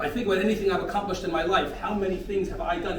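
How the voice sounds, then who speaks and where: Amid noticeable background noise and audible room echo, a man with a high pitch speaks in an American accent. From North America. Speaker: rabbi of community. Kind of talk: sermon. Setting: men's breakfast gathering.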